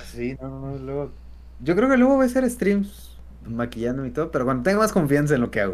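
A man with a Mexican accent at a very fast pace. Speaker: content creator. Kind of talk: casual chat. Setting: live stream. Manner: halting.

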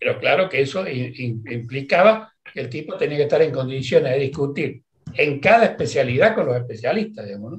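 A man talks in a somewhat breathy voice. His intonation is lively, with big swings in loudness. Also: fairly high pitch for a man, fairly quick pace, hardly any pauses. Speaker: retired physician. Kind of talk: interview. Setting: video call.

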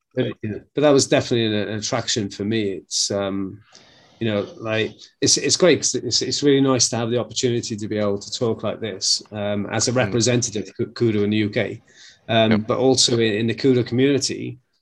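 A man with a Welsh accent at a fairly quick pace, against a quiet background. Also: medium pitch for a man, fairly even intonation. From Wales. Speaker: martial arts instructor. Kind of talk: casual chat.

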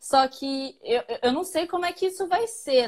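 Her pitch is high. The woman speaks at a moderate pace. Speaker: podcast co-host. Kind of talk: casual chat. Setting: live stream on social media.

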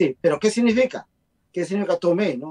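A dry, close sound with no echo frames a dark, mellow tone. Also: man. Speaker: guest. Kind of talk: casual chat. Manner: talkative.

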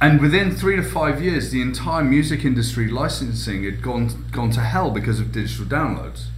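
Against noticeable background noise, a man with a British accent talks at a moderate pace with hardly any pauses. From UK. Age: 40s. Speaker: futurist and keynote speaker. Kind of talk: podcast interview. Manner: repetitive stammering restarts.

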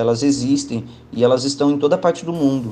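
Through noticeable background noise, a man talks at a fairly quick pace with a fairly high pitch. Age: 30s. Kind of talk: testimony.

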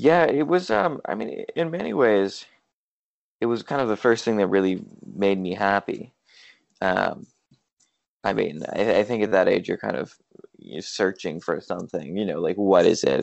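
The speech moves through very wide pitch swings, broken by long, frequent pauses. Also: man, fairly low pitch for a man, moderate pace. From US West Coast, San Francisco Bay Area. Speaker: professional slackliner and college student. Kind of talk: interview.

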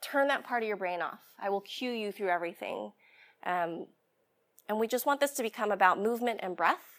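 A woman's ordinary speaking voice, fairly high in pitch with ordinary pitch variation, in a very clean recording with a silent background. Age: 30s. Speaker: yoga teacher. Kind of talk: guided yoga and meditation instruction, cueing poses and breath to a class. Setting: workshop with live class. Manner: slow, calm, soothing cues with pauses; gentle, reassuring, softly repetitive.

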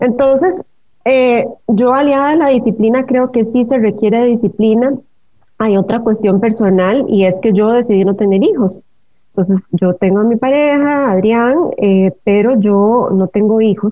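A woman with a normal speaking voice talks at a fairly slow pace in a fairly high pitch with ordinary variation. Her loudness stays very even. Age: 40s. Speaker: writer and dancer. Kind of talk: interview.

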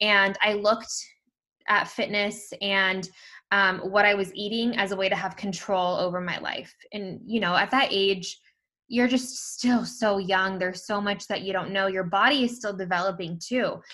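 With an American accent and a bright, sharp tone, a woman talks at a moderate pace in a very clean recording with a silent background. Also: medium pitch for a woman. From California, Bay Area. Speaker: former fitness instructor and influencer. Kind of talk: interview. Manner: pausing, taking breaks.

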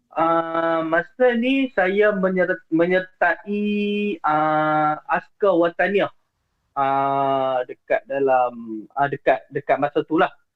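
Speaking at a very slow pace, a man with a high pitch keeps his loudness very even while his intonation stays lively. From Penang, Malaysia. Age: 20s. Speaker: caller sharing ghost stories. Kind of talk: storytelling on a call-in show. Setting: remote call into the show. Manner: halting, many fillers.

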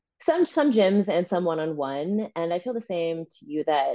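An ordinary speaking voice from a woman with an American accent, fairly low in pitch, with lively intonation and a fairly quick pace. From US East Coast, New Jersey. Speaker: fitness trainer. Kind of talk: casual interview chat.

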